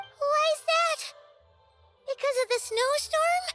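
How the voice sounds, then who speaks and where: A put-on character voice, squeaky and extremely high-pitched, at a fairly slow pace over faint background music. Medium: video game. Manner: chatty, expressive.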